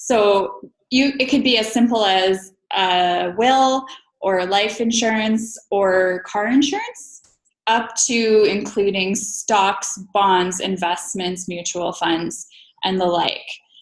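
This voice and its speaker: In a western Canadian accent, a woman speaks at a very slow pace. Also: medium pitch for a woman, ordinary pitch variation. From Alberta, Canada. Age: 30s. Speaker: financial professional. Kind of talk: interview.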